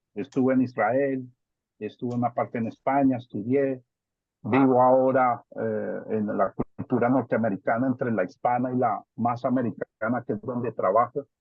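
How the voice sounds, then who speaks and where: A man speaks at a moderate pace with a Bogotá accent, his medium-pitched voice held in a monotone, flat intonation. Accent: Bogotá (rolo) accent, kept. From Colombia, Bogotá. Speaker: family member giving a talk. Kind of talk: family video call discussion.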